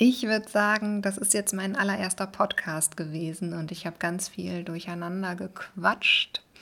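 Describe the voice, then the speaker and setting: A woman's bright, sharp tone at a medium pitch, with fairly even intonation, on a very clean recording with a silent background. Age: 30s. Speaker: vlogger and podcaster. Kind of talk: casual monologue. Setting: at home in living room. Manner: rambling with many fillers.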